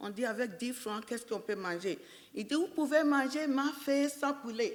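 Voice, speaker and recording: Lively in intonation and high in pitch, a woman talks at a fairly slow pace. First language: English (speaking French). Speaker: entrepreneur. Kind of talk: personal business story at a panel event.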